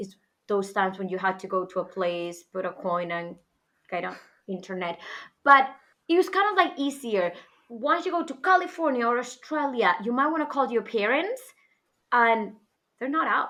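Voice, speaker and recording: At a moderate pace, a woman with a fairly high pitch and a bright, sharp tone makes very wide pitch swings and takes long, frequent pauses. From northwest Spain. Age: 30s. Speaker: podcast guest, international educator. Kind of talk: casual interview chat.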